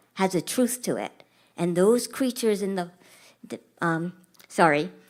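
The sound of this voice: The reading voice here is unforced.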